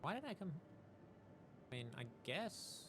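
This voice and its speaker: Lively intonation from a man amid noticeable background noise. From Australia. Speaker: video game streamer. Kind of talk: casual live-stream commentary while gaming. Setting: live stream.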